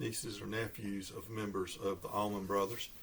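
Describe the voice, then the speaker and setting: Somewhat breathy, a man's voice unfolds at a fairly slow pace. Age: 60s. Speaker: vinyl record collector youtuber. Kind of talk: casual video talk about records. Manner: halting, many filler uhs.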